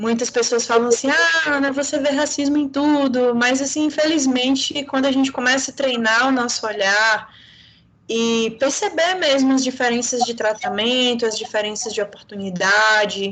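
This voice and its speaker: With a Bahian accent, a woman speaks at a high pitch and moderate pace, keeping very even loudness and ordinary pitch variation. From Bahia, Brazil. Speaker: lawyer, panel speaker. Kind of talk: panel discussion.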